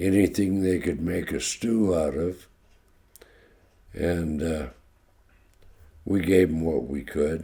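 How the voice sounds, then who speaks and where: This man speaks with a very deep, low pitch and a dark, mellow tone, somewhat breathy, with ordinary pitch variation and an American accent. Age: 80s+. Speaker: elderly man telling life story. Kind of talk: oral history interview.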